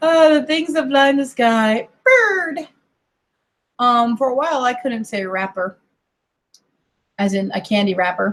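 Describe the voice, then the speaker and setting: With an American accent and a high pitch, a woman speaks at a fairly slow pace with lively intonation and long, frequent pauses. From US, mixed: Colorado, California, Kentucky family. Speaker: online streamer. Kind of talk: casual chat.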